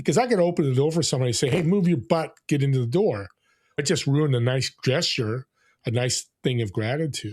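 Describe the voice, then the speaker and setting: A man with a fairly high, somewhat breathy voice talks fairly quickly on a very clean recording with a silent background. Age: 60s. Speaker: entrepreneur and podcaster. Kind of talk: podcast interview.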